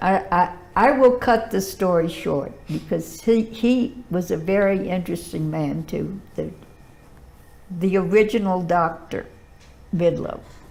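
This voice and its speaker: The speaker has an American accent and ordinary pitch variation. Vocal fry runs through the voice. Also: woman, medium pitch for a woman, fairly slow pace. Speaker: historian. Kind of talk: interview, life story. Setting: filmed interview.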